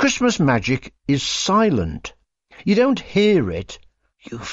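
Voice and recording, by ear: The words are read aloud in a natural voice. Little else is heard, as the background is quiet.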